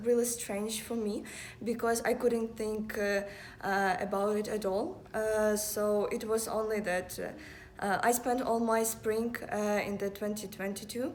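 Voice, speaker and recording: A woman's fairly high, monotone, flat voice at a fairly slow pace, with audible room echo and noticeable background noise. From Ukraine. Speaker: university student. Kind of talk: casual chat. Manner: halting.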